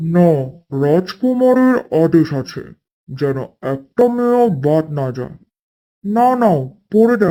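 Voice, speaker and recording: A man puts on a cartoonish character voice, high-pitched, at a fairly slow pace, with very wide pitch swings. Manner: formal, authoritative.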